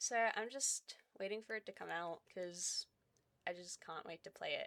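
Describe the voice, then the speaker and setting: In an Australian accent, a woman speaks at a moderate pace and medium pitch with a bright, sharp tone and ordinary pitch variation. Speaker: gaming YouTuber. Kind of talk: casual chat. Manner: chatty, filler-heavy.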